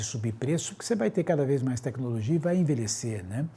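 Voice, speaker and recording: A man is speaking with a somewhat breathy voice. Its tone is dark and mellow. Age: 60s. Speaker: doctor. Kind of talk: interview.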